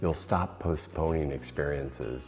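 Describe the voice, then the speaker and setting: Music plays in the background as a man speaks in a calm tone at a very deep, low pitch and moderate pace. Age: 60s. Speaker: retirement lifestyle YouTuber. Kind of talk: reflective monologue.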